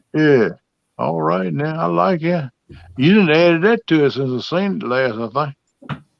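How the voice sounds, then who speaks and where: At a fairly slow pace, a man speaks with long, frequent pauses. His fairly high voice swings very widely in pitch. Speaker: livestream host. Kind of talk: casual chat.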